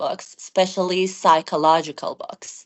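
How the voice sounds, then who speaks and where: This woman has a medium pitch and a non-native accent. She speaks at a moderate pace. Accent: noticeable non-native. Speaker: IELTS test candidate. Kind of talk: interview answer. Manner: comfortable pace with occasional hesitations.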